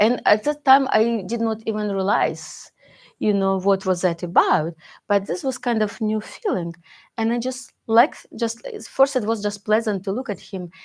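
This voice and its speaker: This woman has a non-native accent and a fairly high pitch. She talks at a moderate pace with ordinary pitch variation. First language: not English. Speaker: Buddhist teacher. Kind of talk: dharma talk, personal testimony. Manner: halting, many fillers and restarts.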